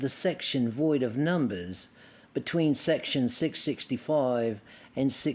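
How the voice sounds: The pitch varies in an ordinary way. It is delivered in a natural reading voice.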